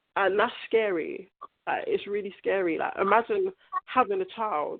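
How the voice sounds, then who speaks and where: A woman speaks at a moderate pace in a London accent. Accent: London English, multicultural London. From South London. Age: 20s. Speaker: young mother. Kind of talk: interview. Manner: conversational, uses 'like' often.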